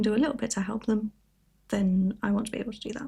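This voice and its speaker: On a very clean recording with a silent background, a woman with a British accent speaks at a fairly quick pace in a somewhat breathy, fairly high voice with a dark, mellow tone and ordinary pitch variation. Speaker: crafting YouTuber. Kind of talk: casual chat.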